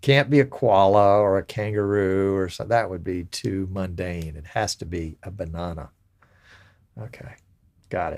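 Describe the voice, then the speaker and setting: Talking at a moderate pace, a man with a very deep, low voice makes big swings in loudness. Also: ordinary pitch variation. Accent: Alabama. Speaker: live stream show host. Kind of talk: casual chat.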